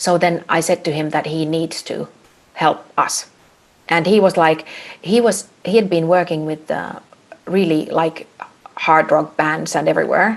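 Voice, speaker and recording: A woman's fairly low voice with a Finnish accent, fairly even intonation, and long, frequent pauses. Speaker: a cappella singer. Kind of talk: casual chat. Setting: video call.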